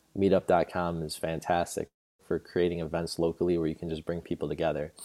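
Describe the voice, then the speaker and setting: A man with an American accent, a very deep, low pitch, a dark, mellow tone and a fairly quick pace. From New York. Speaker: breathwork teacher and music creator. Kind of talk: casual interview chat.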